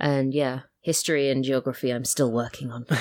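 This woman's pitch is very deep and low. She keeps a moderate pace and fairly even intonation. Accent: English. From England. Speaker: audio drama writer. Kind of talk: casual chat.

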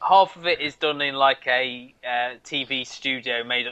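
At a very slow pace, a man speaks with an English Midlands accent. His pitch is medium. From North Midlands, England. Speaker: podcast co-host. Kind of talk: casual chat.

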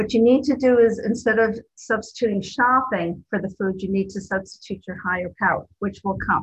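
A woman's somewhat breathy, fairly high voice at a fairly quick pace, with ordinary pitch variation. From New Jersey. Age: 60s. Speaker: twelve-step meeting speaker and sponsor. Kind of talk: recovery talk. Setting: video call.

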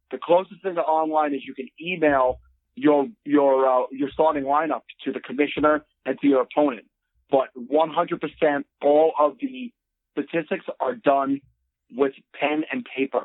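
A man speaks at a fairly slow pace, his pitch fairly high. He has a plain, everyday voice. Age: 40s. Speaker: podcast guest, operating engineer. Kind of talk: casual chat.

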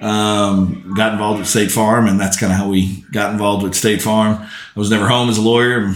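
In a monotone, flat voice with a fairly low pitch, a man speaks at a moderate pace. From New Orleans, Louisiana. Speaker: insurance agent and radio color commentator for high school football. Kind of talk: casual podcast interview.

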